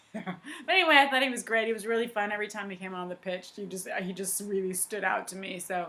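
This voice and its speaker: With an American accent, a woman speaks at a very fast pace in a bright, sharp tone. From US Pacific Northwest, Portland Oregon. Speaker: podcast co-host, football fan. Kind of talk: casual chat.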